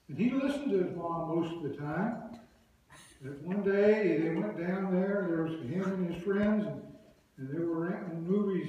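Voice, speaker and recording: Strong room echo surrounds a man speaking at a moderate pace in a high pitch with ordinary pitch variation. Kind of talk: storytelling to an audience. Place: church. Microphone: camera far.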